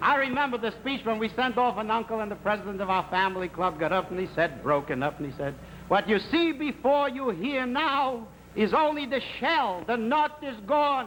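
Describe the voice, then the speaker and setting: At a moderate pace, the voice makes very wide pitch swings against noticeable background noise. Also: man, extremely high pitch for a man. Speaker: stand-up humorist and game show host. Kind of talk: stand-up comedy monologue on a 1950s TV game show. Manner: humorous, storytelling, conversational.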